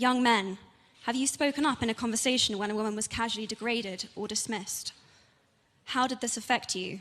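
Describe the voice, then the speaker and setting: A woman in a British accent speaks at a fairly quick pace with a fairly high pitch and fairly even intonation. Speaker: actress and advocate. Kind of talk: public speech.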